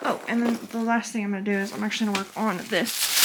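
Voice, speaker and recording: Speaking at a very fast pace, a woman uses a fairly high pitch and fairly even intonation over noticeable background noise. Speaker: crochet vlogger and plush maker. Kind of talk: casual vlog. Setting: hotel room. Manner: quiet, hushed talking.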